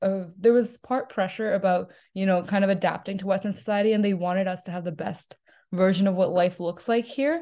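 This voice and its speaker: A woman talks in a normal speaking voice. Her pitch is medium, with ordinary variation. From Punjab, India / Canada. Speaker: university student and community volunteer. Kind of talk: casual interview chat.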